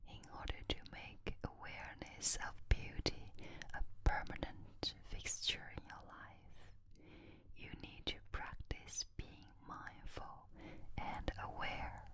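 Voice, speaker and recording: A woman is whispering. Her pace is very slow. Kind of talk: ASMR whisper reading, relaxation. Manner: whispered, soft.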